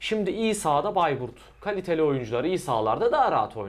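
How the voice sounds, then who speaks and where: A man's high-pitched voice at a moderate pace, with lively intonation. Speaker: football channel host. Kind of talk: sports preview discussion. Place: office. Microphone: lapel.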